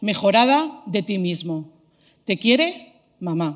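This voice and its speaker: A woman is speaking. Her intonation is lively. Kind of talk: prepared talk.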